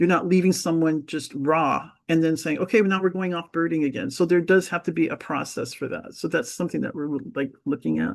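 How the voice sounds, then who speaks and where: A woman with an American accent talks at a fairly quick pace. Her pitch is fairly low with ordinary variation, and the background is quiet. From California, US (San Diego). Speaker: birding presenter and nature guide. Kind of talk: Q&A answer in a talk. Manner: rambling, hesitant.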